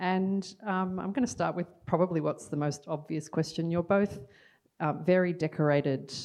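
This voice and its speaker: A woman's fairly low voice in an Australian accent, at a moderate pace with fairly even intonation, over a quiet background. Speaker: poet and panel moderator. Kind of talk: moderated panel discussion. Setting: stage with audience.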